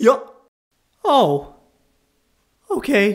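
The speaker uses a put-on character voice, fairly high in pitch, with very wide pitch swings. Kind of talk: comic dub. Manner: drawling, casual.

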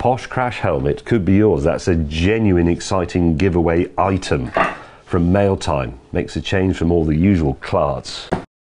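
A man's very deep, low voice at a fairly slow pace, with ordinary pitch variation and noticeable background noise. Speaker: presenter. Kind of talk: casual vlog chat. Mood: wry, dry humour. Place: office.

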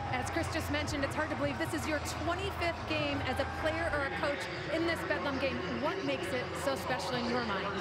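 At a fairly quick pace, the voice comes through loud background noise in a dry sound with no echo. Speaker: sideline reporter. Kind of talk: sideline interview questions. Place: stadium. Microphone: handheld.

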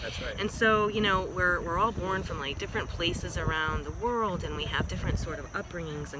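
A woman speaks at a fairly quick pace, with a dry sound and no echo. Loud noise fills the background. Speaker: vlog co-host. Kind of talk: casual vlog chat. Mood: earnest, reflective. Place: street. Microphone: phone near.

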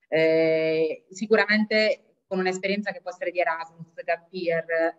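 A woman with an Italian accent at medium pitch, moderate pace and fairly even intonation, against a quiet background. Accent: Italian accent when speaking English. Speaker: language school executive; webinar presenter. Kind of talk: webinar presentation. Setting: video call, sharing one computer. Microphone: video call.

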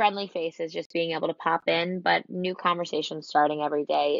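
A woman talks at a fairly low pitch with ordinary pitch variation. The sound is dry with no echo, over a quiet background. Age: 20s. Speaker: entrepreneur, boutique owner. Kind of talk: interview. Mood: reflective, calm. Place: home room. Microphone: video call.

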